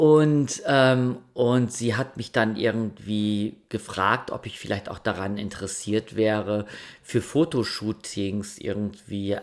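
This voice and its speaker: With a calm tone, a man speaks in a fairly low voice with fairly even intonation. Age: 50s. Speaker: sleep podcast host. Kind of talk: storytelling. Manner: hesitant.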